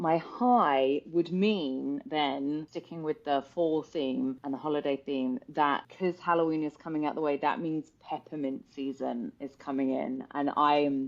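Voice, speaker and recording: A woman with a British accent speaks in a very deep, low voice with ordinary pitch variation. Her pace is fairly slow and she hardly pauses. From UK. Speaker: personal trainer. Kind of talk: podcast interview chat.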